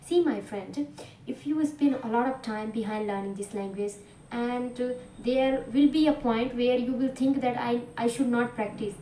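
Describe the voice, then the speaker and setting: A woman talks at a high pitch with ordinary pitch variation. Noticeable background noise sits behind her. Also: moderate pace. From India, Bhojpuri-speaking region. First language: Bhojpuri/Hindi. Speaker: English teacher. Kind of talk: tutorial. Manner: halting, many fillers.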